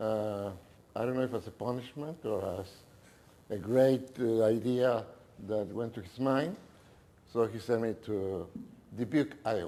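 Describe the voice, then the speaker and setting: A speaker with a Mexican accent talks at a fairly slow pace, leaving long, frequent pauses. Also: man, medium pitch for a man, ordinary pitch variation. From Mexico City. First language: Spanish. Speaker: businessman. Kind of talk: talk to an audience. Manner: halting.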